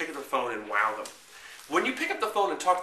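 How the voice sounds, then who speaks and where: With a New York accent, a man's fairly high voice comes through noticeable background noise and audible room echo. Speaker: marketing consultant. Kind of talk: tutorial. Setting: recorded to camera. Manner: fast; halting with frequent fillers and repeats.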